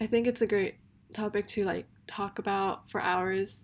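A woman with an American accent, medium pitch and fairly even intonation, at a moderate pace, in a very clean recording with a silent background. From Seattle and Korea. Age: young. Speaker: podcast host. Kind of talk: casual monologue. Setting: home bedroom.

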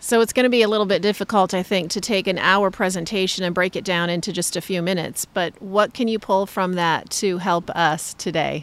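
Speaking with an ordinary speaking voice, a woman goes at a fairly quick pace with hardly any pauses, her pitch medium. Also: fairly even intonation. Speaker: podcast host and optometrist. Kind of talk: casual interview. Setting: on location at a conference.

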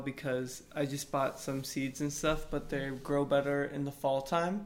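This man has a fairly high pitch. He speaks with an American accent. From Austin, Texas. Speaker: artist and musician. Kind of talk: casual chat.

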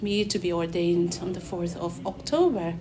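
A woman speaks at a medium pitch and a fairly slow pace. Her pitch varies in an ordinary way, and audible room echo surrounds her voice. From Mizoram, northeast India. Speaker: church worker about to be ordained minister. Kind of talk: interview. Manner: halting.

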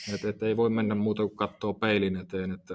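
The man's fairly low voice moves at a moderate pace in a monotone, flat intonation. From Tampere region, Finland. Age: 30s. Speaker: fitness coach and entrepreneur. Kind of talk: casual interview. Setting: studio above a gym.

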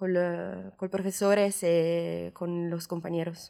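A woman speaks very slowly in a fairly low pitch, her intonation monotone and flat. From Italy, Genoa. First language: Italian (speaking Spanish). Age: 20s. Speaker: exchange student. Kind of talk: casual chat. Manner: halting.

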